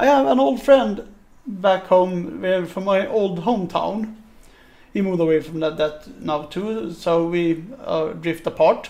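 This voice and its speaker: Very slowly, a man with a high-pitched voice speaks in a Swedish accent. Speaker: podcast host. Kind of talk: casual chat.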